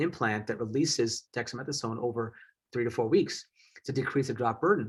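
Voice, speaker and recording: On a very clean recording with a silent background, the speaker talks at a fairly quick pace with an American accent. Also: man. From US Midwest, southeast Wisconsin. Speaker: eye surgeon. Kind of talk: lecture. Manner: fast.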